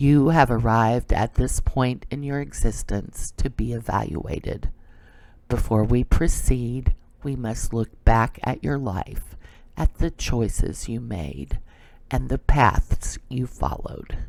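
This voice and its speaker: A man puts on a resonant character voice at medium pitch. His intonation is lively and his pace fairly slow. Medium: read story. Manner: unwavering, neutral, detached.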